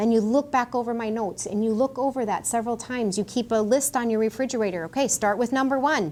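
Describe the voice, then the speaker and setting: Her fairly high voice racing at a very fast pace with hardly any pauses, a woman speaks with ordinary pitch variation. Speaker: physician assistant. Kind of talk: Q&A talk.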